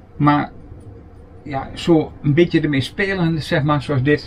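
A man's pitch varies an ordinary amount as he talks over light background noise. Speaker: camper vlogger. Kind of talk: casual show-and-tell vlog; casual vlog chat. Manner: casual, hesitant with fillers. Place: home room. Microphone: camera far.

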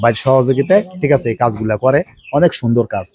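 This is a man with an unremarkable speaking voice. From Bangladesh, Gopalganj. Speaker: migrant worker, customer. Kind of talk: customer testimonial.

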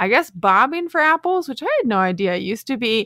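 A woman's bright, sharp tone with very wide pitch swings, dry and close with no echo. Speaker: science podcast co-host. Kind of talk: casual chat. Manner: giggly.

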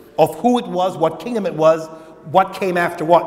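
The man has a high voice. He talks very fast. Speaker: pastor preaching. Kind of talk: sermon. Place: church. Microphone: lapel.

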